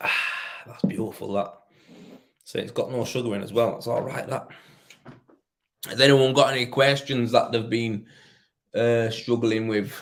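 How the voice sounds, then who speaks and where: A man speaks with a Yorkshire accent at a moderate pace, his pitch medium and his intonation fairly even. He leaves long, frequent pauses. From northern England, Leeds. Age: 30s. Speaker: rendering tradesman. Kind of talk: casual live stream chat. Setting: live stream.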